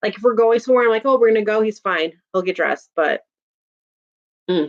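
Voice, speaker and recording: Delivered at a very fast pace with a strong Chicago accent, the voice sounds animated, with ordinary pitch variation and a dry, close sound with no echo. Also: woman, fairly high pitch for a woman. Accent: thick Chicago. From Chicago, US Midwest. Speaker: YouTuber. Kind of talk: casual chat.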